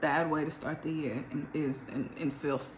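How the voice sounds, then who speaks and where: A woman's voice over noticeable background noise. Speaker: tarot reader. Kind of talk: tarot reading. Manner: casual.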